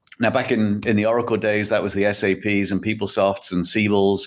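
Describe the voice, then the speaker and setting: A man with an English accent speaks at a fairly quick pace in a fairly low pitch against a quiet background. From England. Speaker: tech company CEO. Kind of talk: podcast interview.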